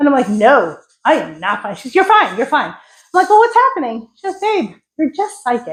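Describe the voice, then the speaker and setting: With an American accent, a woman talks at a moderate pace in an animated tone full of very wide pitch swings. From New York. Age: 60s. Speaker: psychic medium and energy healer. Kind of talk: spiritual talk to an audience.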